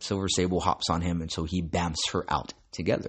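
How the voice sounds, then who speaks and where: The speaker is a man with ordinary pitch variation. His pace is moderate. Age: 40s. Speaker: comics podcast host. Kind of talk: casual monologue.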